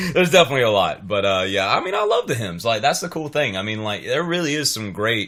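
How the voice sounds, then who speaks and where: A man's medium-pitched voice with an American accent at a very fast pace, with hardly any pauses, very wide pitch swings and noticeable background noise. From North Carolina, US South. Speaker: musician. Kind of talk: interview. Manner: halting, many fillers and repeats.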